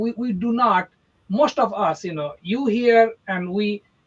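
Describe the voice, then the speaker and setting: Speaking with an Indian accent, a man uses an extremely high pitch and a fairly slow pace. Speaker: real estate agent. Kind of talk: casual chat.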